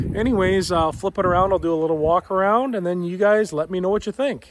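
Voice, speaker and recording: The voice shows ordinary pitch variation in a dry sound with no echo. Noticeable background noise runs underneath. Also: man. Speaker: car hobby vlogger. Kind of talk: casual vlog chat. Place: open country. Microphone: phone near.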